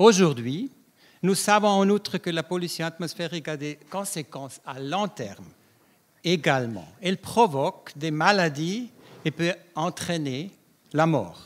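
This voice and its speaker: Ordinary pitch variation at a fairly slow pace. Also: man. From Switzerland, Davos (Graubünden). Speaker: public health scientist. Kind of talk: conference talk. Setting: round-table conference with audience.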